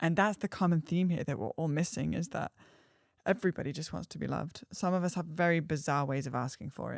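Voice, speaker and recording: The speaker has an English accent, talks at a very fast pace with vocal fry, and shows ordinary pitch variation. The sound is dry and close with no echo, on a very clean recording with a silent background. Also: woman, very deep, low pitch for a woman. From England. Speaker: astrologer and artist. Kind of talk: podcast conversation. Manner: animated.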